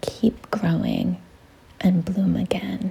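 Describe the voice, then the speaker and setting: Soft-spoken and gentle in tone, a woman talks at a very slow pace with fairly even intonation. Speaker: art content creator. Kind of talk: calming art tutorial talk. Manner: gentle, quiet, soft-spoken.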